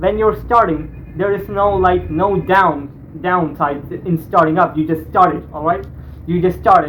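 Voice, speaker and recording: Over noticeable background noise, a man talks in a high pitch with fairly even intonation. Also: fairly slow pace. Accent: non-native. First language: not English. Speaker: YouTuber reacting to videos. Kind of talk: reaction video commentary. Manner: halting, repeats words.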